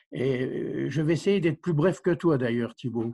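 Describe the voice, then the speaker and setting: A man speaks at a medium pitch over a quiet background. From Vosges, eastern France. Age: 70s. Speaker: village mayor. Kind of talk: interview.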